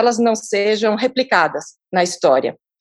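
A woman with a fairly high pitch uses a normal speaking voice at a moderate pace with ordinary pitch variation. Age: 50s. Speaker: philanthropist and social entrepreneur. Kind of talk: interview conversation.

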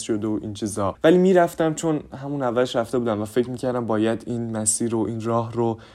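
The voice is a man's, dark and mellow in tone. It varies in pitch in an ordinary way. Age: young. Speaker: youth podcaster and theatre actor. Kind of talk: casual monologue.

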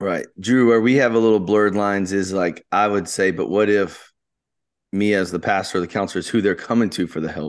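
Against a quiet background, a man with an unremarkable speaking voice talks at a fairly quick pace and a fairly low pitch, keeping fairly even intonation. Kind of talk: casual chat.

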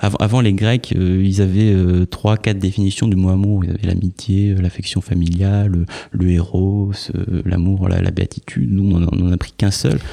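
This man's voice has a dark, mellow tone and a very deep, low pitch. He talks at a moderate pace, with fairly even intonation and very even loudness. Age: 30s. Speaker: author. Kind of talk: casual chat. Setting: studio. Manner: halting.

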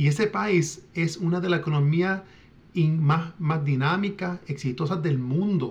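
At a fairly slow pace, a man with a fairly high pitch and ordinary pitch variation keeps his loudness very even. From Puerto Rican diaspora, US. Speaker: author and independence activist. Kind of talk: interview. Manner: halting, many fillers and repetitions.

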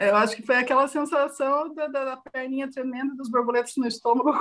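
A woman with a high-pitched voice speaks at a moderate pace, keeping her intonation fairly even. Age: 40s. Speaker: interview guest. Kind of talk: interview testimony.

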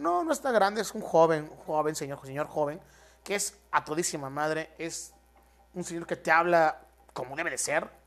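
A man with a Mexican accent in an animated tone, fairly high pitch, ordinary pitch variation and a fairly slow pace. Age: 20s. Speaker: podcaster. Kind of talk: casual solo podcast monologue. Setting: at home in his apartment.

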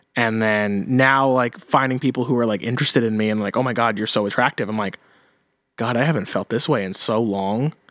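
In a very clean recording with a silent background, a man uses an ordinary speaking voice at a medium pitch, talking at a fairly quick pace with fairly even intonation. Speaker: podcast host. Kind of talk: casual banter. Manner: casual, joking.

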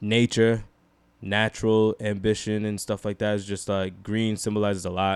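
On a very clean recording with a silent background, a man speaks at a moderate pace in a monotone, flat intonation with a fairly low pitch. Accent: New York. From Rochester, New York. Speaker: podcast guest. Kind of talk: casual chat. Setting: home.

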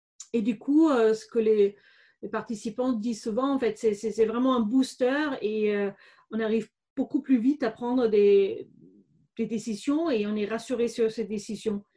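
Against a quiet background, a woman with a slight German accent speaks at a fairly slow pace, her voice somewhat breathy, dark and mellow in tone, fairly high in pitch and fairly even in intonation. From Germany, Bavaria (Regensburg). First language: German (speaking French). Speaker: business coach, former lawyer. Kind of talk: interview. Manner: hesitant, many fillers.

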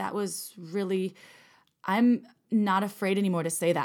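A woman with an American accent speaks at a fairly slow pace, her medium pitch held in a fairly even intonation. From US Midwest, Wisconsin. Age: 30s. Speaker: sex toy company executive and podcast co-host. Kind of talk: casual chat.

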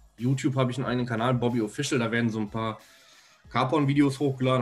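A man talks at a very fast pace with fairly even intonation. Music plays in the background. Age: 20s. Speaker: videographer. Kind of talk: casual interview chat.

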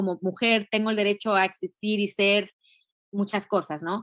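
With a normal speaking voice, a woman talks at a fairly quick pace and fairly high pitch, the sound dry and close with no echo on a very clean recording with a silent background. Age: 40s. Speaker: feminist educator and activist. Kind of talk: interview.

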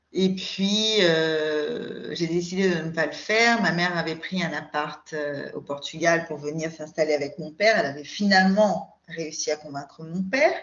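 A woman speaks at a fairly slow pace with hardly any pauses, in a fairly low pitch with ordinary pitch variation. Noticeable background noise runs underneath. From France, Paris region. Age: 40s. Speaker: podcast guest. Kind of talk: casual chat. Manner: hesitant, many filler sounds.

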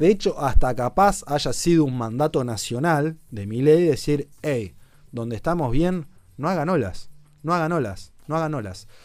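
A man talks at a fairly slow pace while music plays behind him. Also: fairly high pitch for a man. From Argentina, Chubut (Puerto Madryn). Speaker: political commentator and show host. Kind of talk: casual political commentary on a livestream.

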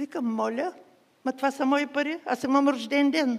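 The woman talks at a moderate speed. Her voice sits high. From Bulgaria, Burgas. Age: 80s+. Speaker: guest preacher. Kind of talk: sermon with testimony.

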